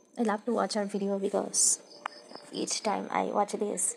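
Over noticeable background noise, a woman speaks fairly slowly at a medium pitch with monotone, flat intonation. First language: non-native English speaker. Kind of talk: casual Q&A talk to camera.

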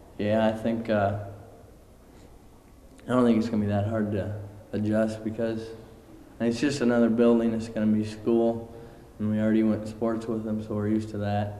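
A dark, mellow tone in flat, monotone delivery, with long, frequent pauses, audible room echo and light background noise. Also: man, moderate pace. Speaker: high school student council member. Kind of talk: interview answer. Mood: relaxed, confident. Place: hall. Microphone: handheld.

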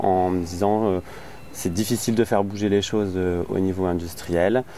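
A man with a very deep, low voice speaks at a fairly slow pace and fairly even intonation. The sound is dry with no echo, with light noise behind him. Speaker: interviewee. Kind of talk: interview answer. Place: garden.

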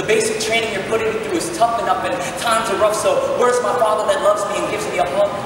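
Over noticeable background noise and strong room echo, a man with a high pitch speaks at a very fast pace. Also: ordinary pitch variation. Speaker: spoken word artist. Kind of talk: spoken word poem. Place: stage.

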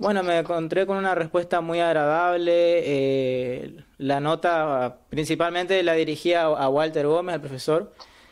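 A high-pitched man at a fairly slow pace, fairly even intonation, quiet background. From Argentina, Misiones (Ituzaingó); Misiones, Argentina. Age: 20s. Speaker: law student. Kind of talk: interview. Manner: halting. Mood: positive, earnest. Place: home room. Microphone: webcam.

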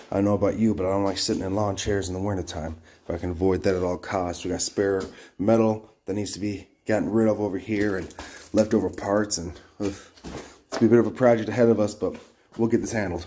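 A man with a fairly low, dark and mellow voice speaks very fast in a flat monotone over light background noise. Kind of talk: casual vlog chat. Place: garage. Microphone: phone near.

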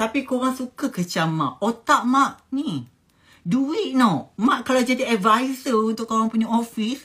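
A woman talks at a very slow pace against a quiet background. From Malaysia. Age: 30s. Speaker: business owner and vlogger; vlogger. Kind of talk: casual advice monologue to viewers. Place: home room. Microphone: phone near.

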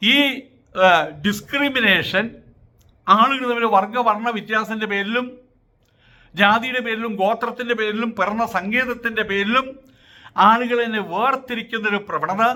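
This man's pitch is extremely high. His intonation stays fairly even. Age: 70s. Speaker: social commentator. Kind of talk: opinion monologue.

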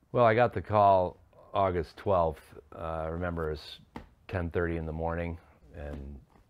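A man talks at a moderate pace in a very deep, low pitch with ordinary variation. His loudness swings widely. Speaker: interviewee. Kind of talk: interview answer. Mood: reflective, somber. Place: studio.

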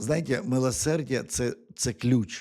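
The recording is very clean, and the background is silent. A man's voice carries a dark, mellow tone. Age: 50s. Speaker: preacher. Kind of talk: sermon. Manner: halting, with frequent repetitions.

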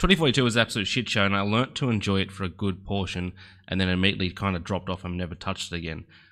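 Against a quiet background, a man with a fairly low, bright, sharp voice talks at a very fast pace with ordinary pitch variation. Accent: Australian. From Australia. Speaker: gaming YouTuber. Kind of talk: gameplay commentary. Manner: animated. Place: home room. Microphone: headset.

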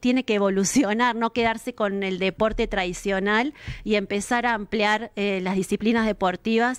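A woman with an unremarkable speaking voice talks at a moderate pace with fairly even intonation against a quiet background. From Argentina, Villa Carlos Paz, Córdoba; Córdoba, Argentina. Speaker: local council president. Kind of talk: interview. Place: studio. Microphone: studio mic.

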